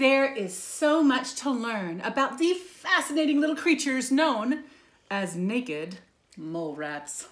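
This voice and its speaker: Sing-song and gentle with an animated tone, a woman's high voice swings very widely in pitch at a fairly slow pace. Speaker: preschool teacher reading to her class. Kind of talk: bedtime-story read-aloud for preschoolers, with pauses to ask the kids questions. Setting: home video recording. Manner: animated and sing-song, gasping and 'ooh'-ing for dramatic effect; gentle, encouraging, coaxing tone aimed at small children. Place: home room. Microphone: phone near.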